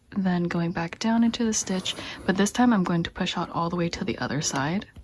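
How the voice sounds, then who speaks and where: Medium-pitched woman at a fairly quick pace, ordinary pitch variation, noticeable background noise behind her. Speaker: crochet tutorial maker. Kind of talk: tutorial. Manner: casual.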